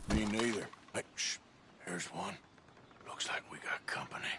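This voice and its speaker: Clear background noise sits behind a man doing a put-on character voice. It is raspy and fairly low-pitched, delivered at a moderate pace. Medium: video game. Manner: dry, laconic, drawling.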